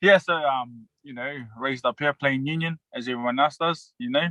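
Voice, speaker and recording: With a slight Australian accent, a man speaks very slowly in a bright, sharp tone with ordinary pitch variation, the sound dry and close with no echo. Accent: Australian tinge. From New Zealand, West Auckland. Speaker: professional rugby league player. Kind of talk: casual interview. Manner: halting, many fillers.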